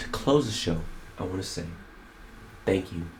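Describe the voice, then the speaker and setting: Amid noticeable background noise and audible room echo, a man speaks with a very deep, low pitch. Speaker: podcast host and rapper. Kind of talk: casual monologue commentary. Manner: fast; animated.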